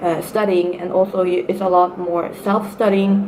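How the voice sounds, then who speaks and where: Against noticeable background noise and audible room echo, a woman with a Norwegian accent speaks at a moderate pace and medium pitch in a monotone, flat way. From Norway. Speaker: student vlogger. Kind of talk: casual vlog advice talk. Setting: sitting at university. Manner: hesitant, many fillers.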